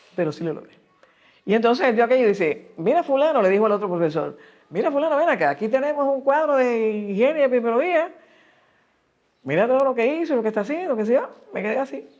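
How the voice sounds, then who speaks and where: A high-voiced woman with a Cuban accent, very wide pitch swings, a very fast pace and long, frequent pauses. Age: 80s+. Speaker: epidemiologist. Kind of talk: interview answer.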